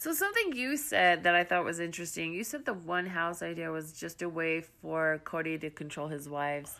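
Speaking at a fairly quick pace with hardly any pauses, a woman with a fairly low pitch and a bright, sharp tone shows ordinary pitch variation. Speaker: podcast co-host. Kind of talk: casual chat.

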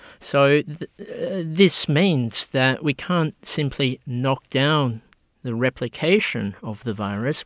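A man speaks with an Australian accent. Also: dry, close sound with no echo, very clean recording, silent background. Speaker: medical researcher. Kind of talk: interview.

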